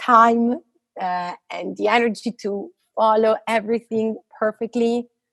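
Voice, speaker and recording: A woman's fairly high-pitched voice in an Italian accent. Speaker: physicist. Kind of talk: interview conversation. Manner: halting, many fillers.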